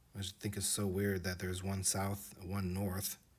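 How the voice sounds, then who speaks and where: A man's fairly low-pitched, somewhat breathy voice at a fairly slow pace. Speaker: video creator narrating map flyovers. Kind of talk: casual video narration. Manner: hesitant, many fillers.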